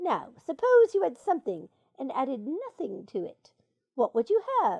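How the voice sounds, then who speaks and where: A woman puts on a high-pitched character voice with very wide pitch swings, heard dry and close with no echo. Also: moderate pace. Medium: read story. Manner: pedantic, explanatory.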